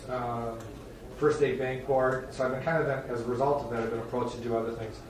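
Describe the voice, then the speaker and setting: A man with an Upper Midwest accent at a very fast pace, amid audible room echo and noticeable background noise. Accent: Upper Midwest American. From northern Wisconsin. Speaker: judge. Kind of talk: self-introduction at a town board meeting. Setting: town board meeting room. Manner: casual, halting with many fillers. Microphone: soft, quiet recording.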